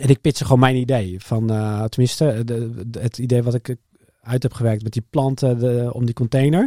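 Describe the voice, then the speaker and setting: With fairly even intonation, a man speaks in a dark, mellow tone, recorded dry and close with no echo. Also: medium pitch for a man, moderate pace. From Netherlands, Harderwijk (Gelderland). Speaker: entrepreneur, product designer. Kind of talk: interview. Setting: studio.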